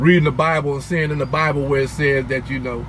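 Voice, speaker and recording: The speech comes at a fairly quick pace in a monotone, flat intonation over noticeable background noise. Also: man. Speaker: vlogger sharing life lessons. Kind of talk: motivational monologue. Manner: passionate, gets louder when misunderstood.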